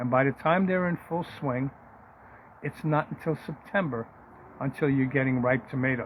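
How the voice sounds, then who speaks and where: A man with a somewhat breathy, fairly high voice talks at a moderate pace with ordinary pitch variation. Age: 70s. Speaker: farmer. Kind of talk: casual chat.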